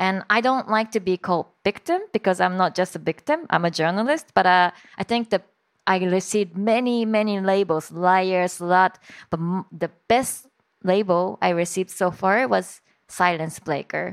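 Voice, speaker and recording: A woman speaks with a Japanese accent at a moderate pace, her pitch medium with ordinary variation. The sound is dry and close with no echo. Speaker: journalist and author. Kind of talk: public talk interview. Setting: stage with audience.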